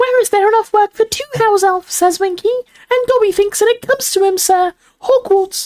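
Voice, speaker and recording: A put-on character voice at an extremely high pitch races along at a fairly quick pace. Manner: timid, servile.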